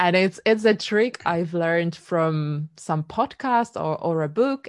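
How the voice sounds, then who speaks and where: A woman with a Polish accent and a fairly low voice talks at a very slow pace against a quiet background. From Poland. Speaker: singer-songwriter. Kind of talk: casual interview chat.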